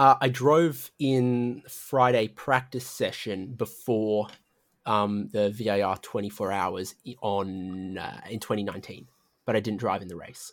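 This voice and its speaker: A man with an Australian accent speaks at a fairly slow pace and a fairly low pitch. His pitch variation is ordinary, and the recording is very clean with a silent background. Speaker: sim racing commentator. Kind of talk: casual podcast interview.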